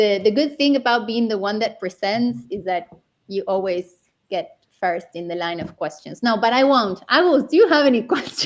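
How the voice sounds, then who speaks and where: This woman talks at a moderate pace with a Spanish accent. Her fairly high pitch carries lively intonation. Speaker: interview host. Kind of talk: casual chat.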